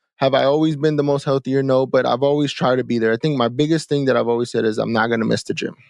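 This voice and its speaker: A man with an American accent at a very fast pace, with very even loudness and fairly even intonation. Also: medium pitch for a man. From Texas, Houston area. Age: 30s. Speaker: entrepreneur. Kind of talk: interview conversation. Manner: casual, repetitive fillers.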